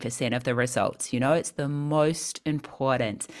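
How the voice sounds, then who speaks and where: At a moderate pace, a woman speaks with a New Zealand accent. Her pitch is very deep and low. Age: 40s. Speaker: personal trainer and vegan health coach. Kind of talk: interview. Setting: video call.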